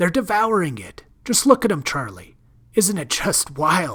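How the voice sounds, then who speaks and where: A man puts on a character voice at a high pitch and moderate pace, with big swings in loudness. The recording is very clean, with a silent background. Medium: read story. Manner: brash, impatient.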